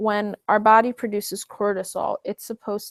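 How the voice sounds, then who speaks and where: A woman talks at a fairly slow pace and medium pitch. The sound is dry and close with no echo. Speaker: wellness coach hosting online Q&A. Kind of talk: live online Q&A session. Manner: slow while typing.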